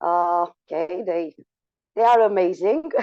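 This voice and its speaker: A woman speaks in a fairly low pitch with a Romanian accent. Her pitch varies in an ordinary way. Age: 40s. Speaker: school teacher and coach. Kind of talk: online talk. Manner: slow, halting.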